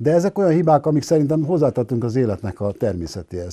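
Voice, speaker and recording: Talking at a very fast pace in a dark, mellow tone, a man uses lively intonation against a quiet background. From Hungary, Budapest; Hungary. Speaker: sociologist; guest. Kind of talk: interview. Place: studio. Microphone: lapel.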